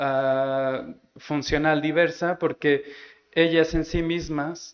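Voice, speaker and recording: A man talks with a fairly high pitch. His intonation is monotone and flat. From Mexico. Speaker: immunologist. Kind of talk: scientific lecture. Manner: slow, halting with many repetitions.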